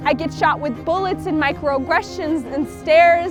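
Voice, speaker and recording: In an American accent, a woman speaks with an intense tone at a fairly slow pace while music plays in the background. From Sudanese American. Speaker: spoken word artist. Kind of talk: spoken word poem performance. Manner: intense, rhythmic, emotional.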